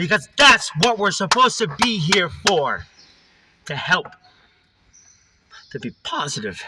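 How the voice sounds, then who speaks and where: Over music in the background, a man with a high pitch uses a raised, projected voice, very wide pitch swings, a fairly slow pace and long, frequent pauses. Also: big swings in loudness. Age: 30s. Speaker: recovering alcoholic vlogger. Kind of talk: personal testimony monologue. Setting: in a car.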